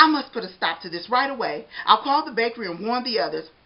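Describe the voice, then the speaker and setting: A woman speaks very fast in a put-on character voice pitched fairly high. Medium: read story. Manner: animated, expressive.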